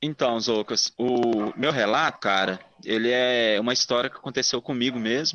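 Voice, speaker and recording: A man with a Minas Gerais accent speaks at a moderate pace and medium pitch. His loudness stays very even and his intonation fairly even. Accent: Minas Gerais accent, evident. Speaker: listener telling a paranormal story. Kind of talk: personal testimony.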